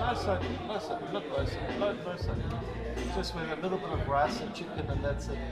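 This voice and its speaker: Loud music plays behind a man's voice. He speaks at a fairly quick pace. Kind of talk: casual vlog chat. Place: gym.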